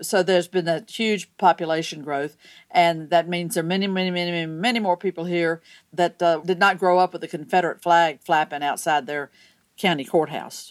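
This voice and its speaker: In a very clean recording with a silent background and a dry, close sound with no echo, a woman with a plain, everyday voice and an American accent speaks at a fairly quick pace, her fairly low pitch kept in fairly even intonation. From US South, Georgia. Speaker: state senator. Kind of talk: interview.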